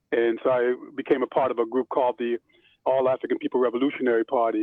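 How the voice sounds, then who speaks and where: The speaker talks at a fairly quick pace with an American accent. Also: man. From Pennsylvania, US (Chester and West Philadelphia). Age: 60s. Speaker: imam. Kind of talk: oral history interview. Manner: halting, many fillers.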